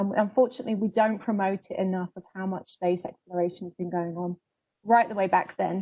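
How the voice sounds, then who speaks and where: Speaking fairly quickly with a British accent, a woman of medium pitch keeps her intonation fairly even while her loudness swings widely. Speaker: public relations coordinator. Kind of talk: presentation on a panel webinar.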